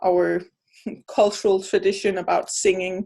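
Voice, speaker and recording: With a Danish accent, a woman speaks at a fairly slow pace against a quiet background. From Denmark. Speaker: anthropologist, video host. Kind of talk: casual conversation. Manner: halting, many repetitions.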